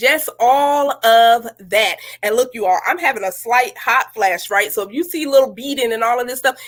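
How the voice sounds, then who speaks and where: A woman speaks in an upbeat tone at a high pitch. Her pace is moderate, with hardly any pauses. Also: ordinary pitch variation. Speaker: menopause advocate. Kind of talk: casual talk to camera.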